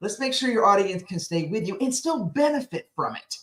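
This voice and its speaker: A loud, energetic woman's voice with very wide pitch swings. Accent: American. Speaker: speaking coach. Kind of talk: interview.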